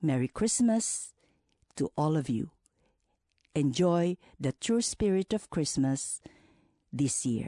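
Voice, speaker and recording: A woman with a very deep, low pitch and a dark, mellow tone speaks at a very slow pace with long, frequent pauses, very wide pitch swings and very even loudness, in a dry, close sound with no echo. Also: quiet background. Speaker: radio co-host. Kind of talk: scripted narration.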